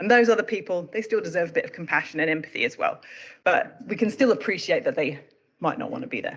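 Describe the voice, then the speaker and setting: A woman with a British accent talks at a very fast pace. Her fairly high pitch swings very widely. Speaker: emergency medicine doctor. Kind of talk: presentation.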